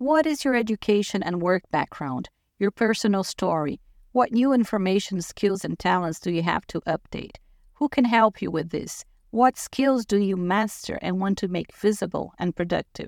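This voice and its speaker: In a very clean recording with a silent background and a dry, close sound with no echo, a woman speaks at a medium pitch with lively intonation. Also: moderate pace. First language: not English. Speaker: life coach. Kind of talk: scripted narration. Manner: formal.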